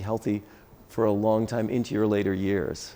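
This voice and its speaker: This man's voice has a dark, mellow tone. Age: 60s. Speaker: dentist and masters CrossFit athlete. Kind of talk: interview. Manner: halting.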